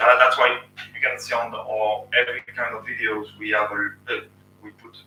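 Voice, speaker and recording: A man with a French accent talks at a moderate pace. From France. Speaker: YouTube channel host, engineer. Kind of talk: casual live stream Q&A. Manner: halting.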